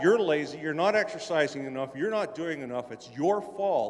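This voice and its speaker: Speaking at a high pitch, a man is heard over noticeable background noise. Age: 60s. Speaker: audience member at convention. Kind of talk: audience question at convention panel.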